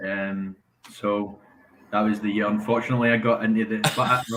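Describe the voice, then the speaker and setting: Scottish accent from a man, medium pitch, moderate pace, flat monotone intonation. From Scotland. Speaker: caller, fan. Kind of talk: casual chat. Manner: hesitant, many fillers.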